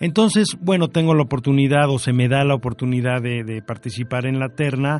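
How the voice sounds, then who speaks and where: Speech comes at a fairly quick pace with hardly any pauses. Pitch variation is ordinary. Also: man, medium pitch for a man. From Mexico City. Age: 50s. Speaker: orthopedic surgeon and university director. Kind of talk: radio interview. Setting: radio studio. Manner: hesitant, many fillers.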